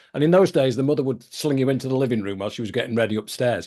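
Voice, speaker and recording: An English accent with lively intonation against a quiet background. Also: man. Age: 70s. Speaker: podcast host. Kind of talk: casual interview chat.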